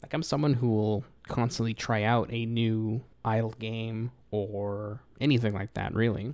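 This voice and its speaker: A man talks at a fairly slow pace in a medium-pitched voice. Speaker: podcast host. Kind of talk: casual solo podcast answering emails. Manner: not monotone, excitement not loud.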